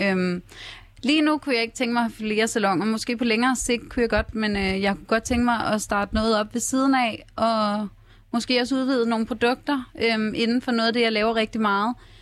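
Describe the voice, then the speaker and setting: A woman speaks in a plain, everyday voice at a fairly high pitch. Her intonation is fairly even and her pace moderate. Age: 20s. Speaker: hairdresser and reality TV participant. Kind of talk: radio interview. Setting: radio studio.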